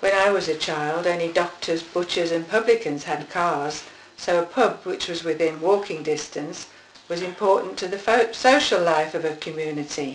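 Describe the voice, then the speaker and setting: A woman with a fairly low pitch and ordinary pitch variation talks over noticeable background noise. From Birmingham, England (Kingstanding). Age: 60s. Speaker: oral history interviewee. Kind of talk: oral history reminiscence, partly read. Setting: interview with husband asking questions.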